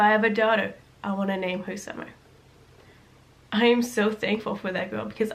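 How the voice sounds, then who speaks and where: The speech is very fast with fairly even intonation. Audible room echo and noticeable background noise fill the recording. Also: woman. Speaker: vlogger. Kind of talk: personal storytelling vlog.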